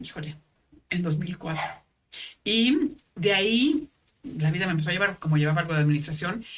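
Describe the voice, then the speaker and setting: Somewhat breathy and fairly low-pitched, a woman talks at a fairly quick pace with lively intonation and long, frequent pauses. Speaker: former actress and paramedic. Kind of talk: podcast interview.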